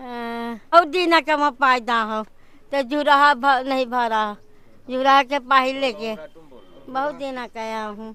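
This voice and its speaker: A woman speaks in a high, raised, projected voice with a bright, sharp tone. Her pitch varies in an ordinary way, while her loudness swings widely. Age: 80s+. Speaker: local resident. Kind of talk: interview. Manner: halting.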